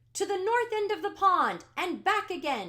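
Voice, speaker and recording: A woman puts on a character voice at an extremely high pitch. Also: moderate pace. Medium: read story. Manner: loud, brisk, official.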